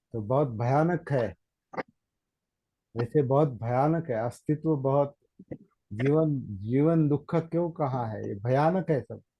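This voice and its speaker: A man's somewhat breathy, dark and mellow voice, fairly high in pitch, with ordinary pitch variation and long, frequent pauses. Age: 60s. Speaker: meditation teacher. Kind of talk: Dhamma talk. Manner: halting, repetitive.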